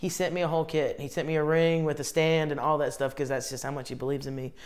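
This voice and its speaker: A woman with a Southern US accent races along at a very fast pace, her pitch very deep and low. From US South, Columbia, South Carolina. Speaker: comedian. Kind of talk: casual interview chat; live stream chat. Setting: bathtub live stream. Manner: animated.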